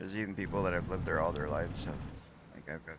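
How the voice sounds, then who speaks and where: A man speaks with a Canadian accent, and audible echo fills the room. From Canada (southern Manitoba). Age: 40s. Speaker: gaming streamer. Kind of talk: casual chat. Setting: livestream. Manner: halting.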